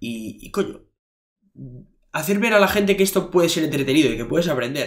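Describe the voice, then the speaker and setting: Against a quiet background, a man speaks with lively intonation. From Basque Country, Bilbao; Basque Country. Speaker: fitness coach and podcaster; podcast guest. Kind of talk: interview. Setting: in person at a university. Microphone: studio mic.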